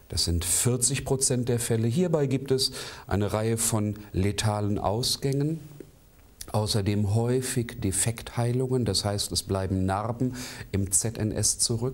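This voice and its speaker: Very slowly, a man talks in a medium pitch with ordinary pitch variation. His loudness stays very even. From Hannover, northern Germany. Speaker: naturopathy lecturer. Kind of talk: lecture.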